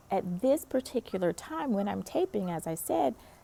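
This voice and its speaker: A woman speaks with a slight North Carolina accent. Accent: slight Southern (North Carolina). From US South, North Carolina. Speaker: pastor. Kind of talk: encouraging devotional talk. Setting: outdoors in a park. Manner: casual, conversational.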